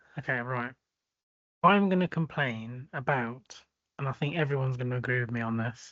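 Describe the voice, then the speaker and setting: A man with an English accent speaks in a bright, sharp tone at a moderate pace. He takes long, frequent pauses. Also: medium pitch for a man, ordinary pitch variation, quiet background. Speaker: podcast co-host. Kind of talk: casual chat.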